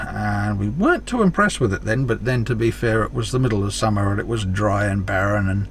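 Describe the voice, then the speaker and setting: A man with an Australian accent talks over noticeable background noise. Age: 60s. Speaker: travel vlogger. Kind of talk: casual vlog narration.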